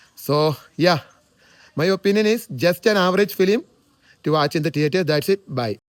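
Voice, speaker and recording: A man with a Keralan accent talks at a moderate pace in a high voice, with ordinary pitch variation. Long pauses come often, and the sound is dry and close with no echo. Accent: Indian (Malayali) English. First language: Malayalam. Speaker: movie reviewer. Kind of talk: movie review monologue. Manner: halting, with filler sounds.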